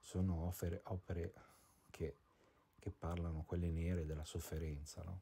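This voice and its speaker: A man with a very deep, low pitch and a dark, mellow, somewhat breathy tone speaks in a flat monotone at a moderate pace, with long, frequent pauses. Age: 40s. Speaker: vlogger and painter. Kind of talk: personal video diary monologue. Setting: at home, indoors. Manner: halting, many fillers and repetitions.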